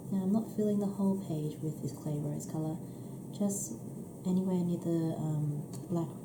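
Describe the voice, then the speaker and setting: A woman speaks at a moderate pace with long, frequent pauses. Audible room echo and noticeable background noise are present. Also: fairly low pitch for a woman, ordinary pitch variation. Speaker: coloring tutorial creator. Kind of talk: tutorial. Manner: hesitant, many fillers.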